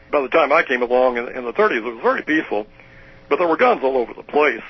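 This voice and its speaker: Over noticeable background noise, a man with an American accent speaks at a very fast pace, with medium pitch and ordinary pitch variation. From US Midwest, southern Illinois. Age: 70s. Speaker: retired professor. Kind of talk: interview. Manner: halting.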